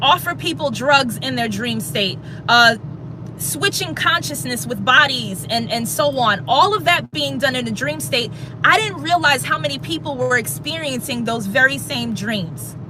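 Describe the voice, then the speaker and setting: The voice sounds animated at a moderate pace, with noticeable background noise behind it. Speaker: spiritual livestreamer. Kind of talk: livestream monologue. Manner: loud.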